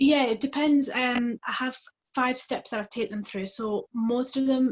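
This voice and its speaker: With a British accent, a woman speaks with fairly even intonation. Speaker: parenting coach. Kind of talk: live coaching interview. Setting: call via phone. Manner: quiet.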